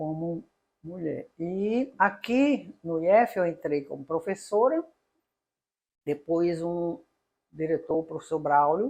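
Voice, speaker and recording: Her voice is fairly low for a woman, with a dark, mellow tone and lively intonation. She talks very slowly, with long, frequent pauses. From Paraíba, Brazil. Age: 60s. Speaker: engineering professor. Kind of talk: interview. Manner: halting.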